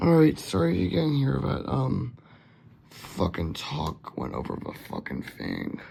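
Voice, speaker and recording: A man speaks with a very deep, low pitch that swings very widely. Noticeable background noise is present. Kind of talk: casual talk to camera.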